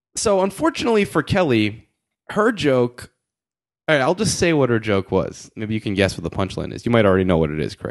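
A man in an American accent talks fairly quickly at a medium pitch, swinging very widely in pitch against a quiet background. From Connecticut, US. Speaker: podcast host. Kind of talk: casual chat.

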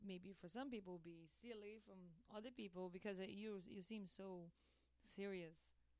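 A woman speaks with a Brazilian accent. Her intonation is monotone and flat, and her pace is fairly quick. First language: Portuguese. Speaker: illustrator and brand creator. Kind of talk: radio interview. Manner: halting, non-native phrasing.

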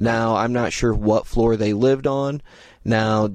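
At a moderate pace, a man with a Midwestern American accent speaks at a medium pitch against a quiet background. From Indiana, US Midwest. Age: 30s. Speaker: podcast host. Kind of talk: unscripted true-crime narration. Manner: casual with many fillers.

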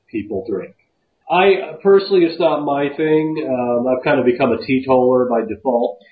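A man with an American accent and a plain, everyday voice talks at a moderate pace in a fairly high pitch, his intonation lively. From US Southwest. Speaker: podcast host. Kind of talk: casual chat. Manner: casual.

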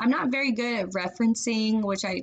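A woman is speaking. Her pace is very fast. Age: 30s. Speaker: college student. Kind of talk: class assignment monologue. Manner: casual with many fillers.

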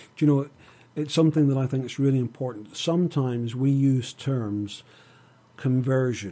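A man with a Northern Irish accent speaks at a moderate pace in a medium pitch, his tone dark and mellow, with ordinary pitch variation. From Northern Ireland. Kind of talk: radio interview. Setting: studio.

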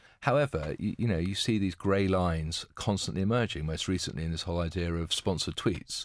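A man talks at a fairly quick pace with a very deep, low pitch and ordinary pitch variation. The recording is very clean with a silent background. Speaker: co-host, PR consultant. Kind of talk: casual discussion.

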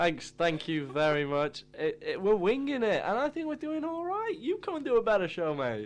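A man speaks at an extremely high pitch with very wide pitch swings. He keeps a moderate pace with hardly any pauses. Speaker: radio host. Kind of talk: casual student radio show chat. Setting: studio. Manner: rambling, casual, filler-heavy, laughing; jokey, chatty DJ patter with station jingles and plugs.

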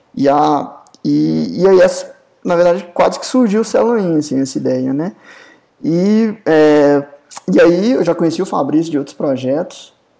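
At a fairly slow pace, a man talks with high pitch, a dark, mellow tone and lively intonation. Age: 30s. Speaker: software company co-founder, computer scientist. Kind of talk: casual chat.

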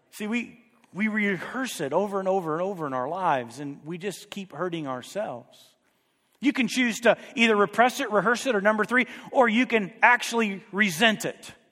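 A man with a high, raised, projected voice speaks at a moderate pace, his tone animated, bright and sharp and his intonation lively. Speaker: preacher. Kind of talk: sermon to a live congregation, teaching and exhorting. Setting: church. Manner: animated, urgent, emphatic, building through repetition; conversational, prompts the audience with questions.

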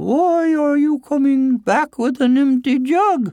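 In a put-on character voice, a man speaks slowly at an extremely high pitch with a dark, mellow tone and ordinary pitch variation.

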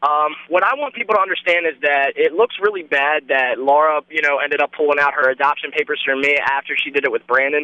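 A man with an American accent speaks very fast, at a fairly high pitch, with hardly any pauses. His loudness stays very even and his pitch varies in an ordinary way. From Baltimore, Maryland. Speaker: reality TV cast member. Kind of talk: interview.

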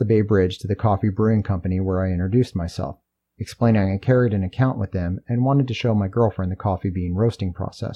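In quiet surroundings, someone does plain reading aloud.

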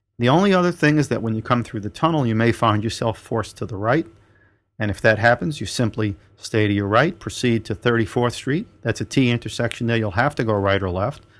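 Over a quiet background, a man with a plain, everyday voice speaks at a fairly quick pace, his medium pitch varying in an ordinary way. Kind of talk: turn-by-turn route directions read out in the style of a traffic report. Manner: clipped, businesslike and instructional, rattling off street names and turns in order.

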